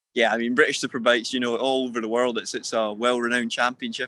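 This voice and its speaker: In a Scottish accent, a man speaks very fast at a medium pitch. His tone is bright and sharp, his intonation monotone and flat. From Scotland, Perth. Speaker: motorcycle racer. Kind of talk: interview. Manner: halting, repetitive.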